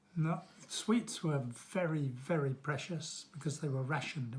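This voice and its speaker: On a very clean recording with a silent background, a man speaks at a fairly quick pace. His voice is somewhat breathy and fairly high in pitch, with ordinary pitch variation. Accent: southern English. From London, England. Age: 70s. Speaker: grandfather interviewed about childhood. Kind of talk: interview answers to children.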